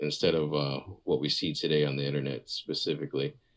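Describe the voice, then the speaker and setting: A man talks at a fairly quick clip with fairly even intonation and vocal fry. The recording is very clean, with a silent background. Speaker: podcast listener. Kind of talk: recorded voice message. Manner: casual, laid-back.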